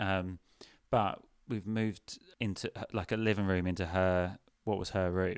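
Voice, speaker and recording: The delivery is monotone and flat. Long pauses come frequently. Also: man, very deep, low pitch for a man. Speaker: comedian. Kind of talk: casual chat. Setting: video call.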